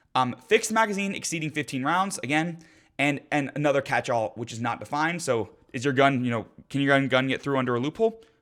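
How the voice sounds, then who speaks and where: A man talks at a very fast pace with lively intonation and a fairly high pitch. The recording is very clean and the background silent. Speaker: gun rights commentator. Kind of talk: video commentary on legislation. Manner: animated.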